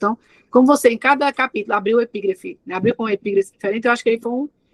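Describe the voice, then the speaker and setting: A woman's fairly high voice comes through in dry, close sound with no echo. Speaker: thesis examiner. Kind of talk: academic feedback at a thesis defense. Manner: fast.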